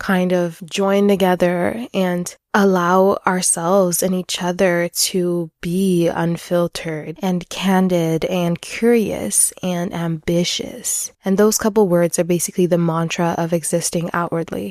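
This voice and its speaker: A woman speaks at a fairly slow pace and a fairly low pitch, with hardly any pauses. Her intonation is monotone and flat. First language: French. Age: 20s. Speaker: podcaster. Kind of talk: personal podcast monologue.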